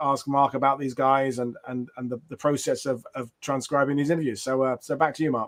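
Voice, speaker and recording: Speaking with an Essex accent, a man goes at a fairly quick pace. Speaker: history channel host. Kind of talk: interview. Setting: video call with green screen.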